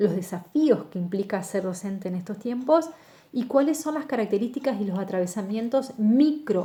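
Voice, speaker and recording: At a moderate pace, a woman with a plain, everyday voice talks at a fairly high pitch with lively intonation. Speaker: university lecturer. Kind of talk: lecture.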